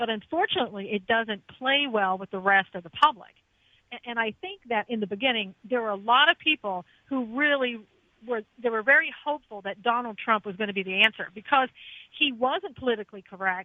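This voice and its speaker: Speaking at a fairly quick pace, a woman with an American accent has an unremarkable speaking voice, fairly high in pitch, with lively intonation. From US East Coast. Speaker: radio host and former attorney, guest. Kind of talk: radio talk show discussion.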